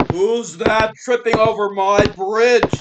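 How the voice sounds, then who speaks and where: The speaker uses a put-on character voice at a fairly high pitch. The pace is fairly slow. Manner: roaring.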